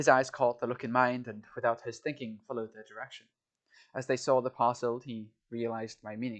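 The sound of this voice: With a quiet background, the speaker uses an unforced reading voice.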